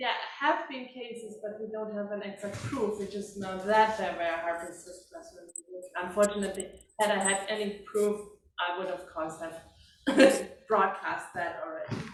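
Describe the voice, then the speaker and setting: Speaking at a moderate pace with a German accent, a woman uses a medium pitch and ordinary pitch variation, her loudness swinging widely amid audible room echo. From Germany, Heidelberg region. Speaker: klezmer harpist. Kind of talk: Q&A session after concert.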